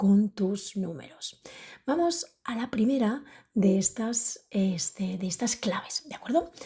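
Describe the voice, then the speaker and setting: This woman is soft-spoken, with a fairly high pitch and a dark, mellow tone. Her intonation is lively and her voice somewhat breathy. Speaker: podcast host and public speaker. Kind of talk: podcast monologue. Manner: soft-spoken, speaking quietly.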